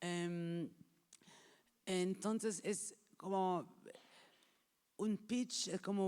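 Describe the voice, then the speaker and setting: A woman's dark, mellow voice at medium pitch. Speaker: film market executive. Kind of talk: workshop talk. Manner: halting, improvising.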